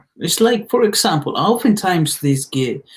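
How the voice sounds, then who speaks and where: A man is speaking. He talks with a Spanish accent. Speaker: motivational speaker. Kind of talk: motivational talk. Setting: live stream. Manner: casual, halting with repetitions.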